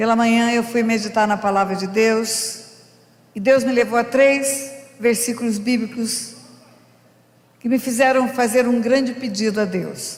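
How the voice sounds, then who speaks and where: A woman with a fairly high pitch talks at a fairly slow pace in a monotone, flat intonation, leaving long, frequent pauses amid noticeable background noise and audible room echo. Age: 70s. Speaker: pastor. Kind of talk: sermon.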